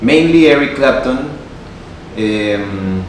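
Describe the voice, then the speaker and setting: Noticeable background noise and audible room echo surround the recording. A man speaks with a Spanish accent at a fairly low pitch. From Peru (Lima). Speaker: guitarist and YouTuber. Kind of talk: casual talk to camera. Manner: informal with fillers.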